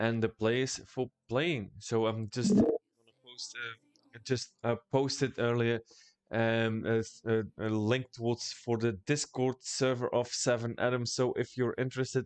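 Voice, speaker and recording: A man's medium-pitched voice with a Dutch accent, monotone and flat, at a fairly slow pace in a dry, close sound with no echo. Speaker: esports caster. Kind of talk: live esports commentary wrap-up. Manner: halting, many fillers.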